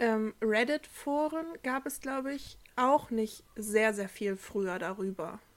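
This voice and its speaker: A woman's fairly high voice at a very slow pace, with lively intonation and hardly any pauses. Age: 20s. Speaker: podcast co-host. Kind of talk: casual chat.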